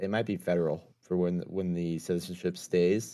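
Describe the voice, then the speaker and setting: A man talks at a moderate pace in a very deep, low voice. The recording is very clean, the background silent. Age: 30s. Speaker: stream guest. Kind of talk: casual chat.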